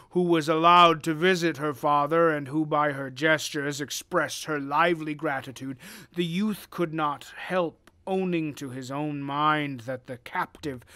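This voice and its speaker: Over a very clean recording with a silent background, a man puts on a character voice at a fairly high pitch. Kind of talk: dramatic reading of gothic prose. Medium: read story. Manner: formal, measured.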